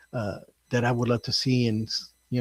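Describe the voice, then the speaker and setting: A man's somewhat breathy voice. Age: 60s. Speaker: first-time novelist. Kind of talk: interview. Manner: halting, many fillers and repeats.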